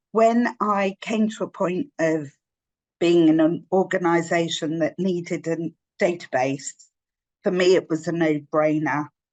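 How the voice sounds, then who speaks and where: A woman with a London accent speaks at a fairly slow pace with ordinary pitch variation, her voice dry and close with no echo. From North London. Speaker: volunteer program manager. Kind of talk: webinar talk.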